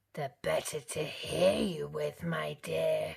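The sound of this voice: Croaky and raspy, this put-on character voice moves at a fairly slow pace.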